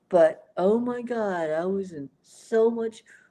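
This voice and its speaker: A woman speaks in a dark, mellow tone. Her pitch varies in an ordinary way. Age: 60s. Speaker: podcast co-host. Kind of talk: casual chat.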